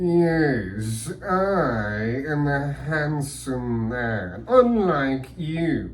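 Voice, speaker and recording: Using a cartoonish character voice at medium pitch, a man speaks at a very slow pace over clear background noise. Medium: puppet. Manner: smug, condescending.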